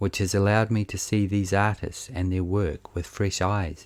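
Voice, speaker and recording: A man speaks with a New Zealand accent in a very deep, low pitch. The recording is very clean, with a silent background. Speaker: podcast host. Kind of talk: scripted narration. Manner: monotone.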